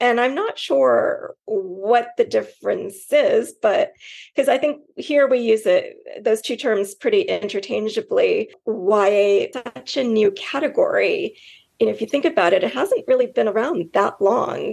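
Her voice carries a Californian accent. The woman speaks at a fairly slow pace. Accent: General American (Californian). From California, suburban. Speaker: book editor. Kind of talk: interview answers.

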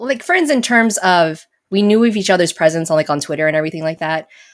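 A woman with an American accent uses a normal speaking voice at medium pitch with ordinary pitch variation. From Las Vegas, Nevada, US. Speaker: video game community manager. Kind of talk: casual chat. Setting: live-streamed podcast.

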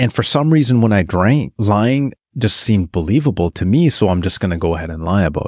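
In a very clean recording with a silent background and a dry, close sound with no echo, a man speaks at a fairly quick pace in a fairly low pitch with very wide pitch swings. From northern British Columbia, Canada (small town). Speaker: podcast co-host sharing his recovery story. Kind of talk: personal testimony in interview.

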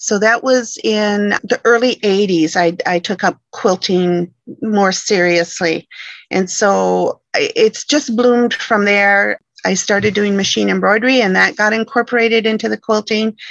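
At a moderate pace, a woman with an American accent and an unremarkable speaking voice talks at medium pitch with fairly even intonation. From Michigan. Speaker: quilting software educator. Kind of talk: interview.

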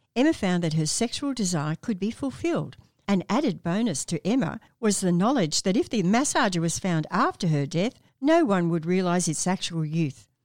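An ordinary speaking voice, a woman's, comes through at a medium pitch and moderate pace with lively intonation and very even loudness. The sound is dry and close with no echo, in a very clean recording with a silent background. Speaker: doctor and podcast host. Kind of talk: podcast hosting with narrated story segments. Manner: warm, friendly, laughs often.

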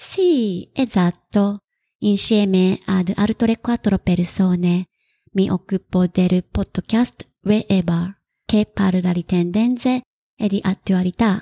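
Somewhat breathy and dark, mellow in tone, the speaker talks very slowly with a Japanese accent and fairly even intonation on a very clean recording with a silent background. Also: woman, very even loudness, dry, close sound with no echo. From Japan, Kagawa. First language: Japanese (speaking Italian). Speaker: freelance writer. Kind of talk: interview.

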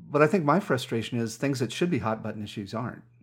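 The speaker is a man. His recording is very clean, and the background is silent. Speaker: podcast host. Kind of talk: interview, casual personal talk. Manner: halting, hesitant with fillers.

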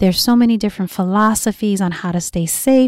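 On a very clean recording with a silent background, a woman with a dark, mellow tone talks at a moderate pace. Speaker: podcast host. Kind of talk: solo podcast monologue. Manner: animated.

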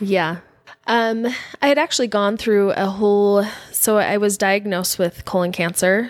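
Using an ordinary speaking voice with an American accent, a woman speaks at a moderate pace in a medium pitch, with ordinary pitch variation and very even loudness. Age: 40s. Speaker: guest sharing faith-leaving story. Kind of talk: casual interview chat.

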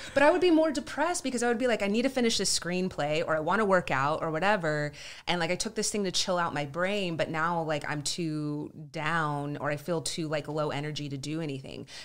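A woman with an American accent and an ordinary speaking voice talks at a fairly low pitch. She moves at a fairly quick pace with lively intonation and hardly any pauses. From Southern California and Texas (San Diego, Dallas area). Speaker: actress and writer. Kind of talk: casual interview chat.

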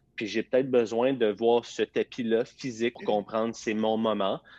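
With a Quebec accent, a man of medium pitch is heard in a dry, close sound with no echo against a quiet background. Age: 30s. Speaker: fitness entrepreneur. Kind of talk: interview. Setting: live video stream.

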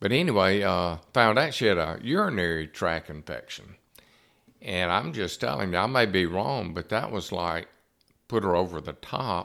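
In a very clean recording with a silent background, a man with a very deep, low pitch and a bright, sharp tone speaks at a moderate pace. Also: lively intonation. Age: 70s. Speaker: podcast host. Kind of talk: casual interview chat. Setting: studio.

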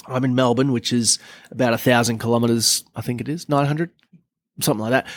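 The intonation of this man varies only a little. His voice lies in the middle range. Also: very clean recording, silent background. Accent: Australian. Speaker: car podcast co-host. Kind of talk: casual chat.

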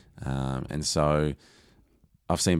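A man with an Australian accent, very deep and low in pitch, with vocal fry and fairly even intonation. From Australia, Geelong area (Lara, Victoria). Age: 40s. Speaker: digital marketing agency owner. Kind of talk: interview.

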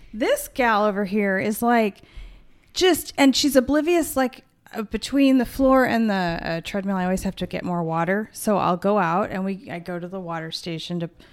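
In a very clean recording with a silent background, a woman with an unremarkable speaking voice talks at a moderate pace, her medium pitch carrying lively intonation. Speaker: podcast co-host. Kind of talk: casual chat.

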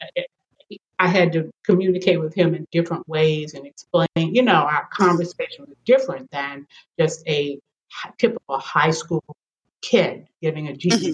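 Fairly low-pitched, somewhat breathy voice from a woman at a moderate pace, with ordinary pitch variation, big swings in loudness and a dry, close sound with no echo. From Kentucky, near Louisville. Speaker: retired educator. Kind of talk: interview.

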